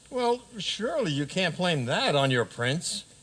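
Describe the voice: Putting on a character voice, a man speaks at a fairly slow pace and a high pitch, with big pitch swings and a fairly bright tone.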